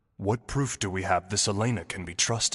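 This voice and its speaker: Delivered at a fairly quick pace, this is a put-on character voice. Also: man. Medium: video game. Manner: cool, formal.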